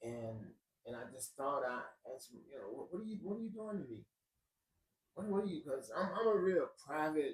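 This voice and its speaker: A high-pitched man at a fairly quick pace, with very wide pitch swings, big swings in loudness and long, frequent pauses. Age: 60s. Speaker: personal storyteller. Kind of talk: testimony. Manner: halting, with many repetitions.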